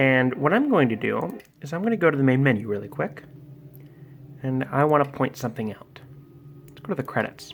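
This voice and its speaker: Fairly quick speech broken by long, frequent pauses, with noticeable background noise. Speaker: video game commentator. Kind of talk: gameplay commentary. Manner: fast; halting.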